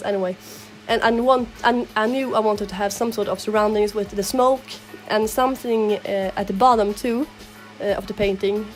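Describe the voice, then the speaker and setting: A woman with a strong non-native accent speaks at a moderate pace in a fairly high pitch. Her intonation is monotone and flat, with music in the background. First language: not English. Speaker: digital artist. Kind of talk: casual commentary over speedpaint.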